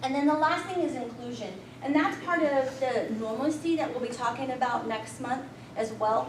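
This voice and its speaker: A woman's high pitch with lively intonation in an American accent, amid noticeable background noise and audible room echo. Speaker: volunteer trainer. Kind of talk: training presentation. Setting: room with audience. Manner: fast.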